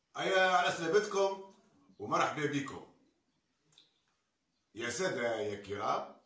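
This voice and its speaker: A man speaking at a very slow pace with long, frequent pauses and audible room echo. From Tunisia. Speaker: storyteller. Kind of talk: traditional folk tale telling. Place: home room. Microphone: camera far.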